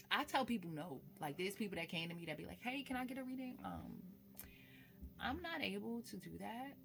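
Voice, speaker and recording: Speaking fairly quickly, this woman has an American accent. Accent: switches between calm speech and Brooklyn. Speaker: spiritualist and tarot reader. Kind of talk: casual vlog monologue. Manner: casual, shifting between calm and animated.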